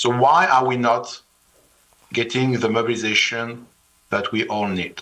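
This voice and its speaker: A man with a French accent speaks fairly slowly at medium pitch in a bright, sharp tone. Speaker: finance executive and author. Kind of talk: panel discussion.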